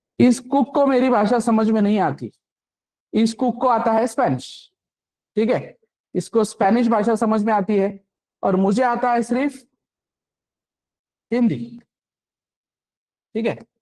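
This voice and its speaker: The speaker talks with a Marathi accent and leaves long, frequent pauses. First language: Marathi (speaking Hindi). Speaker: programming instructor. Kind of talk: lecture. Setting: classroom with online students. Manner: interactive, frequent check-in questions.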